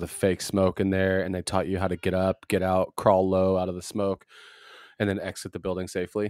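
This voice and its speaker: Over a silent background in a very clean, dry, close recording with no echo, a man with a very deep, low pitch talks at a fairly quick pace. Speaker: podcast co-host. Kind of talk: casual chat.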